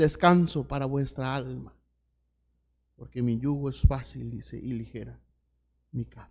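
Speaking at a fairly slow pace, a man with a medium-pitched, somewhat breathy voice keeps his intonation fairly even, swinging widely in loudness and leaving long, frequent pauses. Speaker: pastor. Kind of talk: sermon. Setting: church. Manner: earnest, pastoral, repetitive cadence building to an exhortation; informal, hesitant with fillers at the start. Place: church.

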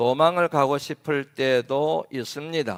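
On a very clean recording with a silent background, a man with an unremarkable speaking voice talks at a fairly high pitch with fairly even intonation, the sound dry and close with no echo. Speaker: pastor. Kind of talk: sermon. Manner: formal.

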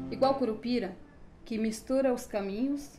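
Over light background noise, a woman with a dark, mellow tone talks at a fairly slow pace with ordinary pitch variation. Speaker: poet. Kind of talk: poetry reading. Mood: emotional, mournful. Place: home room.

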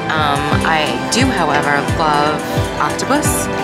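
A woman's voice over loud music in the background. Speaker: food vlogger. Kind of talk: casual vlog chat review. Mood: enthusiastic, pleased. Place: cafe. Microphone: phone near.

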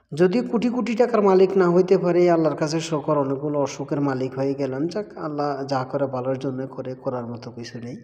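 A man talks with a fairly high pitch and lively intonation, his loudness swinging widely. Noticeable background noise runs underneath. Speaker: migrant worker vlogger. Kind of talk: casual vlog. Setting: at home at mealtime.

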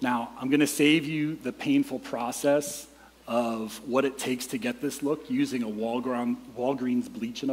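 The man's delivery is fairly slow, with his pitch moving in an ordinary way. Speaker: preacher. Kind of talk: sermon. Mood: humorous storytelling. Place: church. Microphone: headset.

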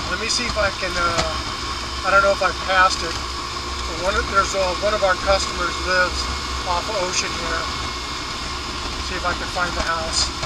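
The speech moves at a moderate pace with long, frequent pauses, dry with no echo but set against loud background noise. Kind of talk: casual ride-along commentary.

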